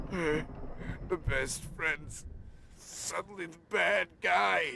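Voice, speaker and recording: A man's put-on character voice, pitched fairly high. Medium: video game. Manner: halting, rambling, stammering.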